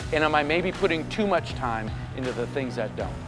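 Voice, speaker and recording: Music plays behind a man with an American accent speaking in an energetic tone. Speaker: motivational keynote speaker. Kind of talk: keynote speech to live audience. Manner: dynamic, energetic.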